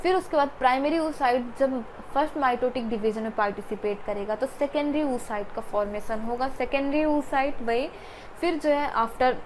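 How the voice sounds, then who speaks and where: Over noticeable background noise and audible room echo, a woman speaks at a high pitch and moderate pace with ordinary pitch variation. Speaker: biology teacher. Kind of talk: lecture. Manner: repetitive, emphatic teaching.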